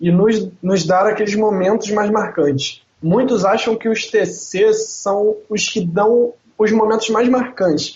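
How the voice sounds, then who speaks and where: A high-pitched man with a Rio de Janeiro accent at a very slow pace, very even loudness and hardly any pauses. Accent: carioca. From Rio de Janeiro, Brazil. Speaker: podcast co-host. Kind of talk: casual chat.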